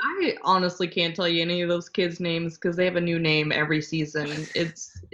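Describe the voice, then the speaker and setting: Her fairly low voice stays monotone and flat as the woman speaks at a moderate pace. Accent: American. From US South, Louisiana. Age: 20s. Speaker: podcast guest, friend of host. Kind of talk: casual chat.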